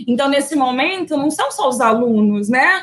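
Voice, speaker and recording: Speaking at a moderate pace with a Brazilian accent, a woman uses a high pitch and ordinary pitch variation. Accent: non-local Brazilian accent, noticeable. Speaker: university professor. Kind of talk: lecture. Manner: conversational, frequent fillers.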